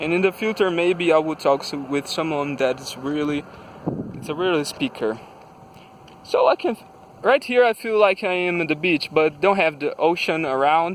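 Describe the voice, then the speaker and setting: Over noticeable background noise, a man with a Brazilian Portuguese accent speaks at a high pitch with ordinary pitch variation. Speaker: vlogger. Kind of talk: casual monologue vlog. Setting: outdoors. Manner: slow; halting.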